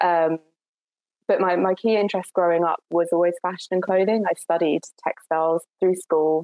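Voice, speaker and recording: Her pitch fairly low, a woman speaks with a southern English accent at a fairly quick pace. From Essex, southern England. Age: 20s. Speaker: climate activist and PhD student. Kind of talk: interview. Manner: hesitant, with frequent fillers and repetitions.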